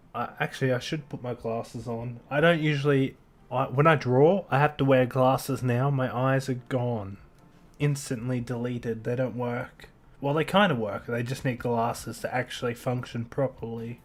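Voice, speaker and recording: Soft-spoken, a man talks at a moderate pace and medium pitch with fairly even intonation. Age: 30s. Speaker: artist live-streaming a drawing session. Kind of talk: casual chat while drawing, reading viewer comments. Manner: quiet, soft-spoken.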